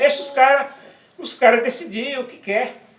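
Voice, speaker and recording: A man's voice carries audible room echo and noticeable background noise. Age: 60s. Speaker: interviewee, activist writer. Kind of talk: interview. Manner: halting, repeats words.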